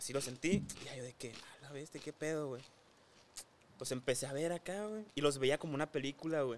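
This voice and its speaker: This man talks fairly quickly in a rather high register, and his pitch moves in an ordinary way. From Hermosillo, Sonora, northwest Mexico. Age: 20s. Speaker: influencer. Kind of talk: casual chat.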